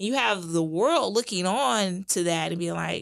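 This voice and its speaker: A woman's medium-pitched voice with lively intonation at a fairly slow pace, on a very clean recording with a silent background. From US Midwest, St. Louis. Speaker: seminary graduate and small group leader. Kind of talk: casual interview.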